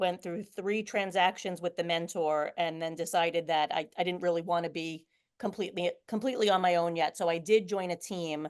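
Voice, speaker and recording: A woman with a New York accent talks at a fairly quick pace with hardly any pauses. Her pitch is fairly low and her intonation fairly even. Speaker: real estate agent. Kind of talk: interview. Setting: video call.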